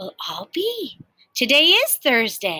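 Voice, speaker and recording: In a put-on character voice, the speaker talks at a fairly slow pace. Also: female-sounding voice. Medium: read story. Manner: folksy, warm.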